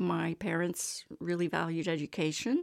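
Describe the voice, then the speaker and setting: A woman with an American accent has an unremarkable speaking voice, fairly low in pitch with fairly even intonation, captured dry and close with no echo in a very clean recording with a silent background. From Texas. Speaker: engineer and single adoptive mother. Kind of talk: interview testimony.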